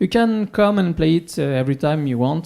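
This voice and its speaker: Background noise is noticeable here. Over it, a man speaks at a moderate pace. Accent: French. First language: French. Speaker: music shop owner. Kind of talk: conference talk. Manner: halting, many fillers.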